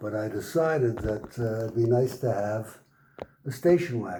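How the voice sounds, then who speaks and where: A somewhat breathy voice with a dark, mellow tone speaks at a fairly slow pace. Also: man. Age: 80s+. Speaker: car owner. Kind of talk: interview. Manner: halting.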